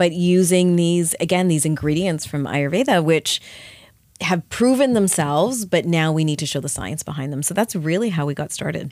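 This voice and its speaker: A woman with a Canadian accent and an ordinary speaking voice, fairly low in pitch, with lively intonation at a moderate pace, on a very clean recording with a silent background. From Canada. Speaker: skincare company founder. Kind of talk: interview. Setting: studio.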